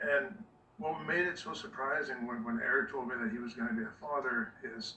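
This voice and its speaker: A man with a medium pitch talks at a fairly quick pace with very wide pitch swings, amid noticeable background noise and audible room echo. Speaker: dog breeder. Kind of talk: casual chat. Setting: video call.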